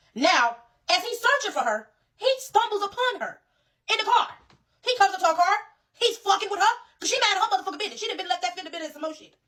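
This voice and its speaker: Raised and projected, a woman's extremely high, bright, sharp voice races at a very fast pace with an animated tone, big swings in loudness and long, frequent pauses. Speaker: social media commentator. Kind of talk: impassioned rant.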